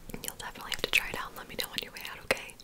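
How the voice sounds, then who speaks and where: A woman's voice comes out in a whisper. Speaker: ASMR creator. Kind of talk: ASMR bookstore checkout roleplay, chatty talk to the listener. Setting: studio, typing and book sounds. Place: home room. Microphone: studio mic.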